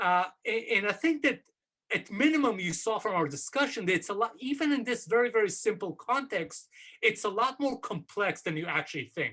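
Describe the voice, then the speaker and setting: A man with a high pitch uses a raised, projected voice and a bright, sharp tone at a fairly quick pace. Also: lively intonation. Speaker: professor. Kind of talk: academic seminar talk. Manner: hesitant, many fillers.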